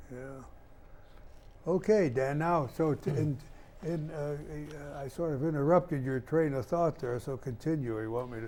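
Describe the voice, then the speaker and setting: A man with a dark, mellow tone and fairly high pitch speaks at a moderate pace with ordinary pitch variation. He takes long, frequent pauses. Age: 80s+. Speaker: community TV host. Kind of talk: televised interview. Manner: halting, repetitive.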